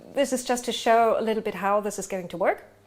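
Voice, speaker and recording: A woman speaks with a German accent. Her pitch variation is ordinary. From Germany. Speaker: game master. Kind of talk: tabletop game session intro. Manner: hesitant, many fillers.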